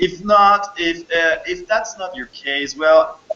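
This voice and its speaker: A man with a high-pitched voice and a non-native accent speaks over noticeable background noise. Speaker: program host, interviewer. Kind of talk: interview. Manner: halting.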